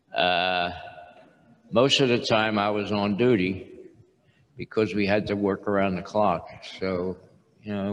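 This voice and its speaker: Speech with fairly even intonation comes with long, frequent pauses and audible room echo. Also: man. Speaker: retired industrial engineer and churchman. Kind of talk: testimony interview. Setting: stage with audience.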